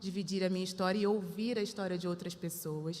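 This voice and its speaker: In a Rio de Janeiro accent, a woman speaks at a medium pitch with fairly even intonation. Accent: carioca. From Rio de Janeiro suburbs, Brazil. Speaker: panel speaker. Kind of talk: personal testimony on a panel.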